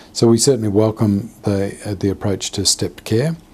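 Speaking at a fairly quick pace, a man with a fairly low, somewhat breathy voice shows ordinary pitch variation. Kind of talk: media statement. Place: office.

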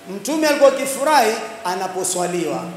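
A man with ordinary pitch variation, amid light background noise and audible room echo. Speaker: religious preacher. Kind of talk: sermon. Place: hall. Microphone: handheld.

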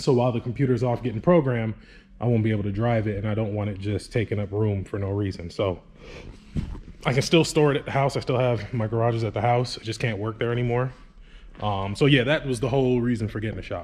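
Pitch variation here is ordinary. The man speaks at a very fast pace. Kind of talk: casual vlog chat. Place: garage. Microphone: phone near.

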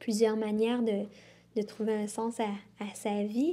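A woman speaks at a fairly slow pace in a fairly high pitch with a dark, mellow tone. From Quebec. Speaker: environmentalist; interviewee. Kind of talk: interview. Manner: halting, many repetitions. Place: studio.

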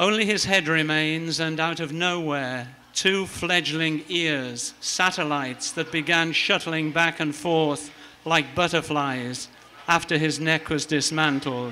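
A man speaks at a very slow pace with fairly even intonation over light background noise. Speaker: open mic poet. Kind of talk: poetry reading. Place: cafe. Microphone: handheld.

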